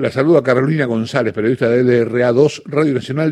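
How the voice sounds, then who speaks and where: Speaking at a moderate pace with ordinary pitch variation, this voice carries an Argentine accent. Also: man. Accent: Argentine Spanish (voseo). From Trelew, Patagonia, Argentina. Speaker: radio host. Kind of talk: radio interview.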